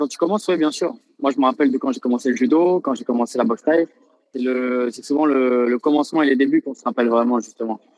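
A man's medium-pitched voice at a very fast pace, with a dry, close sound and no echo. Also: long, frequent pauses, big swings in loudness. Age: 20s. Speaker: professional Thai boxer. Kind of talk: casual interview.

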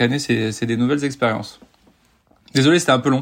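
This man's intonation is monotone and flat. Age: 30s. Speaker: police officer and long-distance triathlete. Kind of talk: casual interview.

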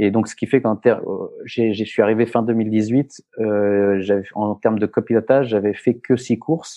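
This man talks fairly slowly in a middle register. His tone stays fairly level throughout. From France. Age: 40s. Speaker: rally co-driver and former athlete. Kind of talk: interview. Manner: halting, many repetitions and fillers.

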